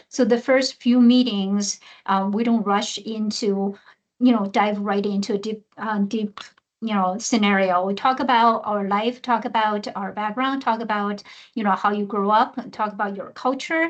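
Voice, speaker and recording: Over a quiet background, a woman with a Chinese accent speaks at a fairly high pitch with fairly even intonation. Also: moderate pace. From China. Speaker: research program director, mentor. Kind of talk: webinar panel discussion. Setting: online webinar. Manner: halting, many fillers.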